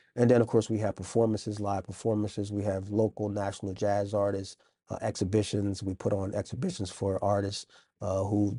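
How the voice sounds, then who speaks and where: A man speaks at a fairly low pitch in a monotone, flat intonation, somewhat breathy. His tone is dark and mellow, and the background is quiet. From Wilmington, Delaware. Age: 50s. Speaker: arts center director. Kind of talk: interview.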